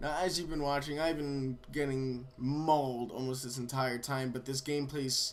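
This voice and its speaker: Fairly high male pitch amid noticeable background noise. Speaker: gaming YouTuber. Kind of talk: gameplay commentary. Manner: halting, many fillers.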